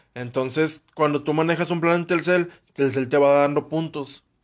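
A plain, everyday voice from a man, fairly high in pitch, with fairly even intonation, a moderate pace and a quiet background. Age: 20s. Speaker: podcast co-host. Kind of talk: casual chat.

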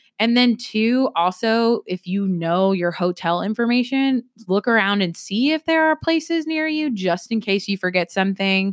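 A plain, everyday voice, a woman's, fairly high with lively intonation, moderate pace, hardly any pauses, very even loudness and a dry, close sound with no echo. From South Carolina. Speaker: university recreation administrator. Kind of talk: casual chat.

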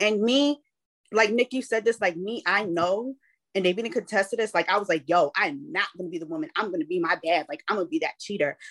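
With a plain, everyday voice, a woman at a medium pitch speaks at a fairly quick pace with lively intonation, in a dry, close sound with no echo. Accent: American. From Boston, US. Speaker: podcast co-host. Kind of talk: casual chat.

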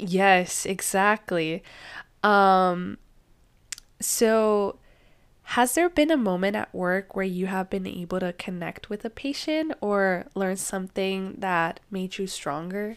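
A woman with a Spanish accent speaks at a very slow pace in a very clean recording with a silent background. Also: medium pitch for a woman, ordinary pitch variation. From Mexico. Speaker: podcast host. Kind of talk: casual chat, interview.

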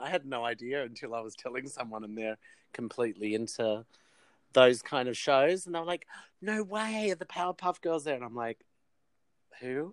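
A man's medium-pitched voice with an Australian accent at a moderate pace, very wide pitch swings and long, frequent pauses, in a dry, close recording with no echo. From Australia, New South Wales (Wollongong). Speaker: artist, actor and musician. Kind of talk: casual interview chat. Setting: remote call from a shed.

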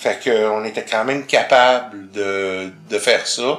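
Music plays in the background as a man talks in a Quebec accent. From Quebec, grew up in Montreal. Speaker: visually impaired guest. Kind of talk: casual interview.

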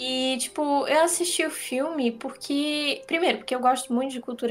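A woman speaks with ordinary pitch variation. Noticeable background noise runs underneath. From Santa Catarina, Brazil. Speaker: podcast host. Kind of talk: casual chat. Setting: video call.

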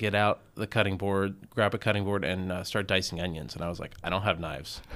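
Very fast speech in an American accent comes with fairly even intonation in a very clean recording with a silent background. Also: man. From US South, Atlanta suburbs (Gwinnett County, Georgia). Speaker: chef and restaurant owner. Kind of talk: casual interview. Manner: hesitant, many fillers.

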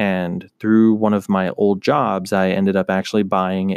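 Dry and close with no echo, the recording carries a man's unremarkable speaking voice, fairly low in pitch and fairly even in intonation. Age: 20s. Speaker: podcast host and photographer. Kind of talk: solo monologue podcast. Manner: many filler words (um, uh).

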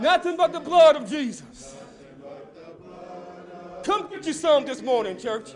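A man speaks fairly slowly at an extremely high pitch, with very wide pitch swings and big swings in loudness. His tone is animated, and there is noticeable background noise. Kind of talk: sermon. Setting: church. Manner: animated, call-and-response preaching, urgent and exhortative.

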